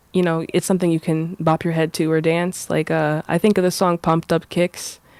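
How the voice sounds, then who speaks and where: Fairly quick, monotone speech in an American accent, very even in loudness, with a dry, close sound free of echo in a very clean recording with a silent background. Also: woman, fairly low pitch for a woman. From Boston, Massachusetts. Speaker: singer-songwriter. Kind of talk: interview. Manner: halting.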